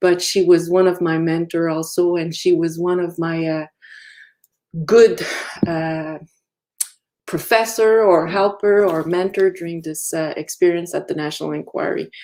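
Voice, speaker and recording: A woman's fairly low voice with a slight French accent, fairly even intonation, a moderate pace and long, frequent pauses. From Quebec, Innu and Quebecois parents. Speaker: activist and commissioner. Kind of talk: keynote lecture. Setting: virtual lecture. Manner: halting.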